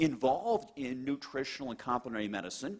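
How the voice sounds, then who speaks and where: Very fast and animated, a man talks with very wide pitch swings. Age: middle-aged. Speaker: cardiologist. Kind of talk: testimony.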